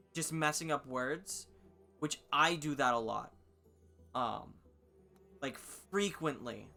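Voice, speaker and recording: Music plays in the background as the speaker goes at a very slow pace with long, frequent pauses. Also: man, fairly high pitch for a man, ordinary pitch variation. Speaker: gaming streamer. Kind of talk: casual chat.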